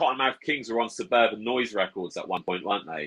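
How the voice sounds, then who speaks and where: Speaking at a fairly quick pace in a Norfolk accent, a man uses a medium pitch with ordinary pitch variation. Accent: Norfolk, rural English. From England, Norfolk. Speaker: interview guest. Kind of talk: casual interview chat.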